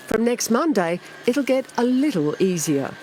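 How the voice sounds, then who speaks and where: A woman with an Australian accent at a moderate pace, very wide pitch swings, and a dry, close sound with no echo. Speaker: TV news reporter. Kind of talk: TV news report.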